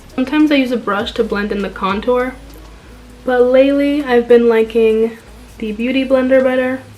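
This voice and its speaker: This woman's voice is high-pitched and monotone, with flat intonation. She talks at a moderate pace over faint background music. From Dominican-American, New Jersey. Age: 20s. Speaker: beauty content creator. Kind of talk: makeup tutorial voiceover. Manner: casual, friendly. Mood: relaxed, friendly. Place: home room. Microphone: phone near.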